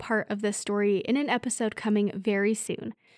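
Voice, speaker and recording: A woman's fairly high-pitched, ordinary speaking voice at a moderate pace, with a dry, close sound and no echo. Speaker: podcast narrator. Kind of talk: ghost story reading, scripted narration of a period tale. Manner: formal, storyteller-like period diction.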